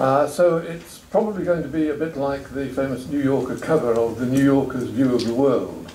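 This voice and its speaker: A man speaks with an English accent and hardly any pauses. Noticeable background noise sits under his voice. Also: fairly high pitch for a man, ordinary pitch variation, moderate pace. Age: 70s. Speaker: retired professor. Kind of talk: talk at a roundtable. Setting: stage with audience.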